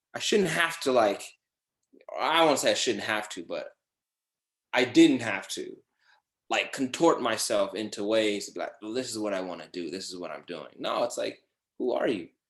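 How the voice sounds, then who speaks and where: A man with an American accent speaks at a moderate pace, leaving long, frequent pauses. His loudness swings widely against a quiet background. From Los Angeles, then Georgia. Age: 30s. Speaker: podcast host and actor. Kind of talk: casual interview chat.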